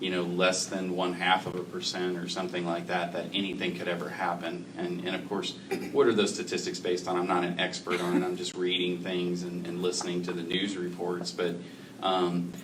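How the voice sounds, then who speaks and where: Over noticeable background noise and audible room echo, a man with a very deep, low voice talks at a fairly quick pace in a flat monotone. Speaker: healthcare representative on a panel. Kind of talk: panel discussion. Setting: public forum in a library. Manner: loud.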